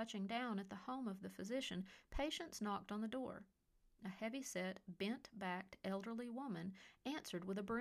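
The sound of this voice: An unforced reading voice delivers the passage.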